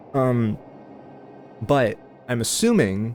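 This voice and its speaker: The speaker is a man. Music plays behind him. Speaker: video game streamer. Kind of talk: live gameplay commentary. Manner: halting.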